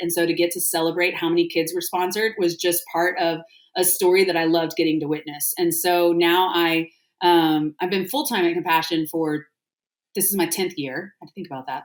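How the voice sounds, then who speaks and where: Speaking at a moderate pace with fairly even intonation, this is a normal speaking voice with an American accent. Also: woman. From Texas. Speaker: restaurant founder and nonprofit artist relations leader. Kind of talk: podcast interview. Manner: casual, many filler words.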